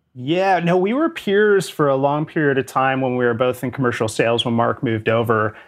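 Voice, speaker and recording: An ordinary speaking voice with a Canadian accent goes at a fairly quick pace. Its pitch variation is ordinary. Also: man. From Canada. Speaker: sales executive. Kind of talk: interview.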